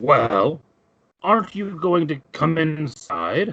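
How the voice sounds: A man does a put-on character voice with a fairly high pitch, lively intonation, and a very slow pace.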